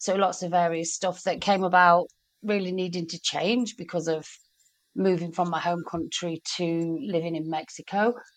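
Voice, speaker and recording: Against a quiet background, a woman with a British accent and a fairly low pitch speaks at a moderate pace. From Britain. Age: 50s. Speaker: small business owner. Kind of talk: casual chat.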